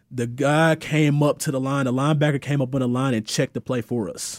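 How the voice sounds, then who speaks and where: Speaking with an Alabama accent, a man talks at a fairly quick pace in a fairly high voice. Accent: Southern US (Alabama). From Alabama, US South. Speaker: former pro football player, entrepreneur. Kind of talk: interview.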